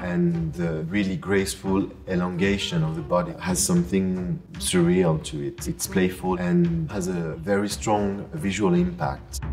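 Faint music plays in the background as a man with a very deep, low voice speaks at a fairly slow pace. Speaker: auction house design specialist. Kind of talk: interview answer. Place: hall. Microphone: lapel.

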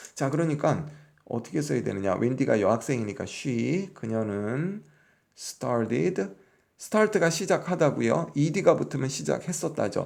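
On a very clean recording with a silent background, a man of medium pitch talks at a fairly slow pace with vocal fry and very wide pitch swings. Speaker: English teacher. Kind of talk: lecture.

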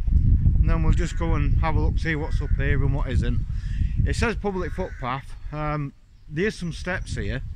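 Over loud background noise, a man's voice comes through in a dry sound with no echo. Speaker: village walk vlogger. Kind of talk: casual vlog chat. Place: street. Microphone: phone near.

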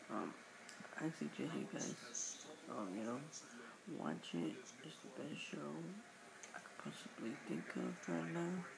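Over noticeable background noise, a man speaks at a fairly slow pace, pausing long and often. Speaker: vlogger reviewing a TV show. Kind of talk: casual talk to camera, TV show review. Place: home room. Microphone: webcam.

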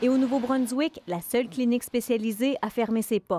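In a Quebec accent, a woman with a fairly high pitch talks at a moderate pace in a dry, close sound with no echo. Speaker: TV news reporter. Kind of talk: newsreading, scripted TV report narration. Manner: formal, measured, even-paced.

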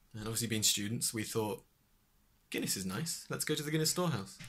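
A man speaks with lively intonation. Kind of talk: casual vlog chat. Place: home room. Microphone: webcam.

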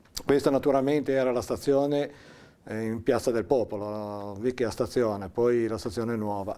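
His tone is dark and mellow, at a medium pitch with ordinary pitch variation. The man keeps a fairly quick pace. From Liguria, Italy. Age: 60s. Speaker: interviewee recalling local history; interviewee. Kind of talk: oral history interview. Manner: halting, with fillers. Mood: calm, reflective storytelling. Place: studio.

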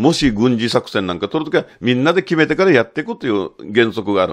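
A man talks very fast at a medium pitch, his voice swinging very widely in pitch and greatly in loudness. The background is quiet. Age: 60s. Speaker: photographer and commentator; commentator. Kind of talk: monologue commentary. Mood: critical, animated. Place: studio.

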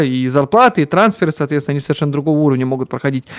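A fairly high-pitched man's voice against a quiet background. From Siberia, Russia (Omsk); Siberia, Russia. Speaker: economist and football fan; guest. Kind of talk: casual chat. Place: office.

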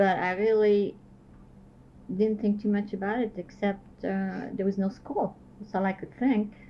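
A woman speaks at a moderate pace in a dark, mellow, somewhat breathy tone with monotone, flat intonation. She leaves long, frequent pauses over light background noise. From Belgium, Liège; Belgium. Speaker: Holocaust survivor and resistance veteran. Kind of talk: oral history interview. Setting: at her home. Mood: reflective, somber. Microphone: old recording.

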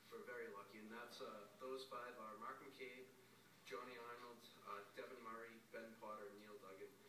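A man at a fairly quick pace, with noticeable background noise and audible room echo. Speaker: council member. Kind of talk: meeting remarks. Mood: warm, appreciative. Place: meeting room. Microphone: podium.

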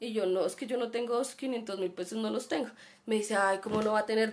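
A woman talks at a very fast pace in a fairly high voice. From Colombia. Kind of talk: personal anecdote; live-streamed talk. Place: home room. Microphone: webcam.

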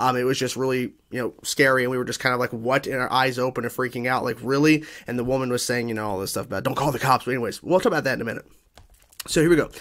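A man talks at a very fast pace with fairly even intonation over a quiet background. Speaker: video creator. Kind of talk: casual vlog chat. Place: home room. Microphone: studio mic.

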